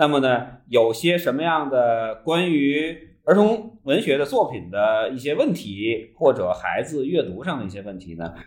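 A man's fairly high voice with very wide pitch swings at a fairly slow pace. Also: big swings in loudness. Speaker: podcast host, parent. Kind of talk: casual interview chat. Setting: non-studio room with reduced sound quality.

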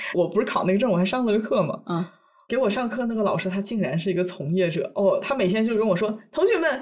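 Through noticeable background noise, a woman at a medium pitch speaks very fast with lively intonation. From China. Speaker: podcast co-host. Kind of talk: casual chat.

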